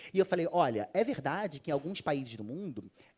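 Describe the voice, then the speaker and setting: In a very clean recording with a silent background, a man with a Rio de Janeiro accent speaks fairly quickly at a fairly high pitch, with very wide pitch swings and vocal fry. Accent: carioca. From Rio de Janeiro, Brazil. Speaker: panel speaker on sustainability. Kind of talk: conference panel talk.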